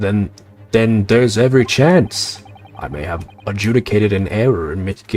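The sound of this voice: The voice reads aloud without forcing anything. Its pitch varies in an ordinary way.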